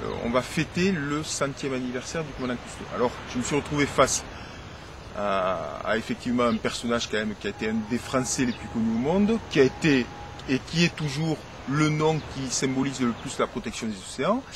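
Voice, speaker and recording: Amid noticeable background noise, a man with a medium pitch speaks at a moderate pace with lively intonation. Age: 40s. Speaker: teacher and lifeguard, writer. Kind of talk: interview. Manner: hesitant, many fillers.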